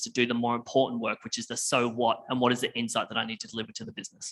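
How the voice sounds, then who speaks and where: An Australian accent in a man's medium-pitched voice, bright and sharp in tone. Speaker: tech company presenter. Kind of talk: conference presentation.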